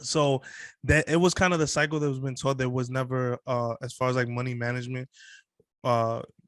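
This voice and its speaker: Against a quiet background, a plain, everyday voice moves at a fairly quick pace with fairly even intonation and a dry, close sound with no echo. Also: man, medium pitch for a man. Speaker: podcast host. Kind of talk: casual interview chat.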